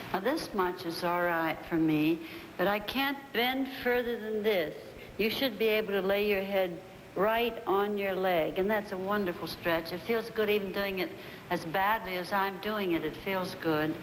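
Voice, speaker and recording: At a fairly slow pace with ordinary pitch variation, the speech carries audible room echo and noticeable background noise. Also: woman, medium pitch for a woman. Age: 70s. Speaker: choreographer. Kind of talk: casual talk during barre exercises.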